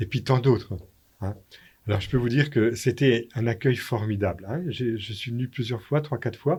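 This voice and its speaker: The speaker is a man with a medium-pitched, somewhat breathy voice. His pitch varies in an ordinary way. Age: 70s. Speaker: priest. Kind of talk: radio interview.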